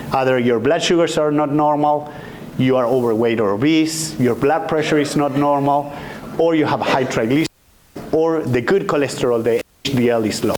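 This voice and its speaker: A man talks at a fairly quick pace with a fairly high pitch, ordinary pitch variation and very even loudness. Noticeable background noise and audible room echo are present. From Argentina. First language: Spanish. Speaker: physician, endocrinologist. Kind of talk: lecture.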